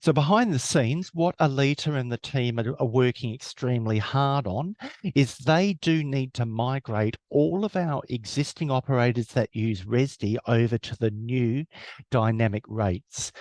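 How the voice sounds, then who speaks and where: A man with an Australian accent at a moderate pace, medium in pitch with ordinary pitch variation, in a dry, close sound with no echo against a quiet background. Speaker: webinar presenter. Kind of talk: webinar presentation.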